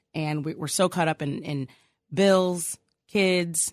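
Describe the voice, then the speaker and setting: Speaking with an American accent, a woman has a fairly low pitch. The background is quiet. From Chicago. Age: middle-aged. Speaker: attorney and talk show host. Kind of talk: interview.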